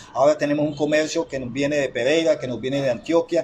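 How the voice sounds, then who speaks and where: Fairly high in pitch for a man, his voice carries a somewhat breathy quality. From Chocó, Colombia. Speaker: interviewer. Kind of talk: interview. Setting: interviewee's home.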